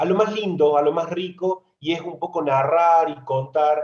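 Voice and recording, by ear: A man talks at a fairly slow pace. His tone is slightly mellow with a slightly husky edge.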